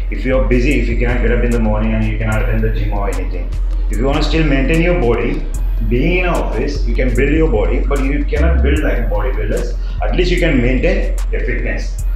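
A man talks very fast at very even loudness, with audible room echo and clear music in the background. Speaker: fitness trainer. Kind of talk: tutorial. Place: office. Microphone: camera far.

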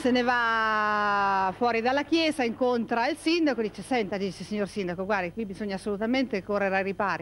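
Speaking fairly quickly, a woman's voice rises and falls with ordinary pitch variation. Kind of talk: storytelling joke. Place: street.

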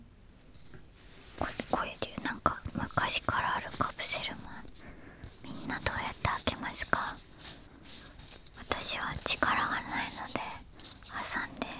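A soft-spoken woman whispers at a very slow pace, her loudness swinging widely, in a dry recording with no echo and noticeable background noise. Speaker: streamer. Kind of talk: soft casual ASMR chat. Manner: soft close-mic ASMR whisper. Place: studio. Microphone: studio mic.

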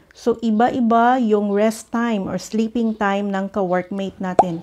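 On a very clean recording with a silent background, a woman speaks in a dark, mellow tone at a fairly high pitch, fairly slowly and with fairly even intonation. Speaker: vlogger, former overseas factory worker. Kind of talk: casual tips vlog.

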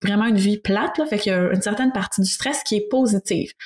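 Medium in pitch with ordinary pitch variation, a woman speaks in a Quebec accent. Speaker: speech therapist co-host. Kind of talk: casual interview.

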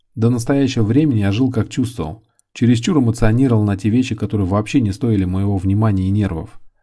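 Against a quiet background, a man speaks at a very fast pace in a fairly low pitch, his dark, mellow tone somewhat breathy, with ordinary pitch variation. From Volgograd, southern Russia. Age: 30s. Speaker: hairdresser and author. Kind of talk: reading aloud.

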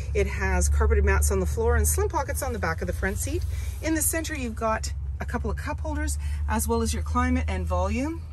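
A woman talks at a fairly quick pace in a very deep, low pitch with monotone, flat intonation. The sound is dry with no echo, over light background noise. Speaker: car dealership salesperson. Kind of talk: product walkaround commentary. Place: car. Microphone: phone near.

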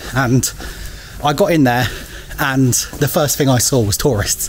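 At a fairly slow pace, a man speaks with medium pitch and ordinary pitch variation over faint background noise.

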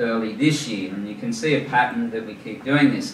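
Speaking at a medium pitch with an Australian accent and ordinary pitch variation, the man is heard with audible room echo and light background noise. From New South Wales, Australia. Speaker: charity founder, former forensic police officer. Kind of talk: presentation to a club audience. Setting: live audience at a club dinner. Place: hall.

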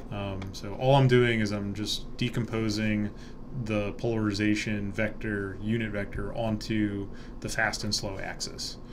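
A man's fairly low, monotone, flat voice over noticeable background noise. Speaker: university lecturer. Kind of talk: lecture. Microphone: webcam.

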